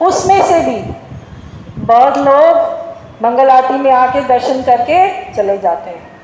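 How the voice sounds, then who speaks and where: A woman with a Malayalam accent speaks at a high pitch with ordinary pitch variation, while audible room echo and noticeable background noise fill the recording. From Kerala, India. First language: Malayalam (speaking Hindi). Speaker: devotional speaker. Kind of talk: spiritual talk to temple visitors.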